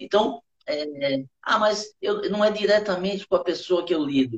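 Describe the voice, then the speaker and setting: A man's high-pitched voice at a moderate pace. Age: 50s. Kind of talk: interview about faith and business. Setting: online live stream. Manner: halting.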